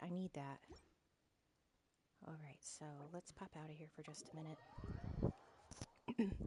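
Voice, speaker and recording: Music can be heard in the background. Over it, a woman talks with an American accent. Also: dry, close sound with no echo. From New York. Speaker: gaming streamer. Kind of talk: casual chat.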